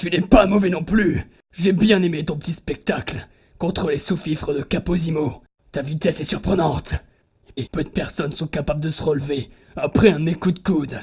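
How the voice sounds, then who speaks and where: A cartoonish character voice sits at a middle pitch. It moves at a moderate pace. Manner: cocky, blunt, scornful.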